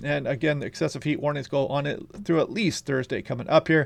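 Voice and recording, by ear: A man's put-on character voice, hoarse and raspy, at a fairly high pitch and very fast pace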